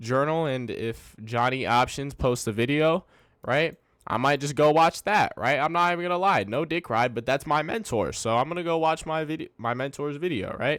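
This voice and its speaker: A man speaks at a fairly quick pace with fairly high pitch and ordinary pitch variation, on a very clean recording with a silent background. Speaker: day trader and video creator. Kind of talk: casual trade recap tutorial. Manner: halting, self-corrects and repeats; casual, slangy, frequent 'right?'.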